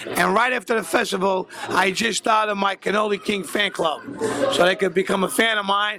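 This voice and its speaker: A man speaks in a raised, projected voice at a fairly quick pace, pitched high. Music plays in the background. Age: 70s. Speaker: bakery owner. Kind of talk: casual interview. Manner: animated.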